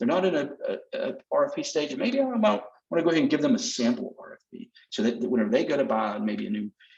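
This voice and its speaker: Speaking very fast with a Southern US accent, a man swings his pitch very widely. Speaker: sales representative. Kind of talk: product demonstration. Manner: casual, conversational.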